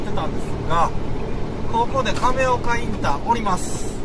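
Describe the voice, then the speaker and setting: Over crowd noise in the background, a man speaks at a moderate pace with ordinary pitch variation, the sound dry with no echo. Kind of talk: casual driving commentary. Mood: relaxed, chatty. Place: car.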